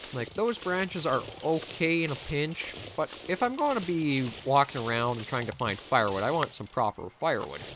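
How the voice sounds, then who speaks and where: Against noticeable background noise, a man with a Canadian accent and a fairly high pitch speaks with very wide pitch swings. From Canada. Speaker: gaming commentator. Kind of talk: let's play commentary. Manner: casual.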